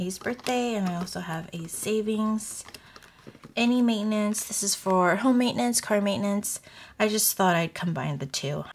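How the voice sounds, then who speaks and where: A woman is talking over light background noise. Her voice is somewhat breathy. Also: ordinary pitch variation, moderate pace. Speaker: budgeting vlogger. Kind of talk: casual vlog chat. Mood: relaxed, friendly. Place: home room.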